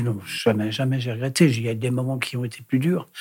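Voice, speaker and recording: A somewhat breathy man's voice at a moderate pace. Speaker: impressionist. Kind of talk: casual chat. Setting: studio. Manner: halting.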